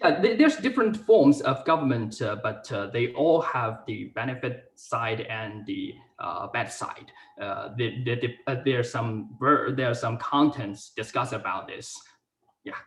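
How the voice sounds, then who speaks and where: With a Chinese accent, a man talks at a moderate pace with big swings in loudness. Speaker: university student. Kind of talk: class presentation; Q&A answer. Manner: halting.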